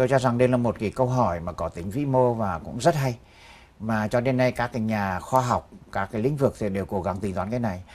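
The man's pitch varies by an ordinary amount. He talks very fast. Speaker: economist and associate professor. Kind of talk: studio interview. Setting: studio. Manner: formal. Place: studio. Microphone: lapel.

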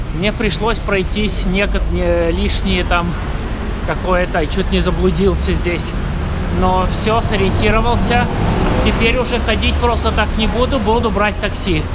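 Loud background noise sits behind a man who speaks at a fairly slow pace with long, frequent pauses. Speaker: travel vlogger. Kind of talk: casual vlog chat. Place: street. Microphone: phone near.

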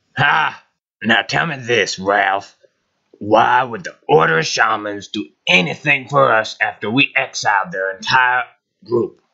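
A man uses a put-on character voice. His pitch is medium. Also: fairly slow pace. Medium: audio drama. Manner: gruff, scoffing, irritable.

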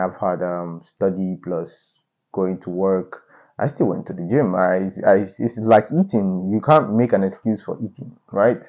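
A man speaks at a moderate pace in an unremarkable speaking voice, fairly low in pitch with ordinary pitch variation. The background is quiet. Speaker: fitness vlogger. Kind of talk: casual vlog chat. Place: home room. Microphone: lapel.

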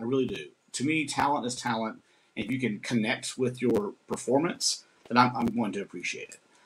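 Against light background noise, a man talks fairly quickly, his loudness swinging widely. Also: ordinary pitch variation. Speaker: performing arts director and host. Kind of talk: casual conversation on live stream. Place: home room. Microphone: webcam.

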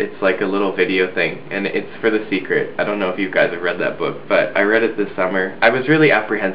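Over light background noise, a man with a fairly low pitch talks at a very fast pace. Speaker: video blogger. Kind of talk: casual vlog chat. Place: home room. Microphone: webcam.

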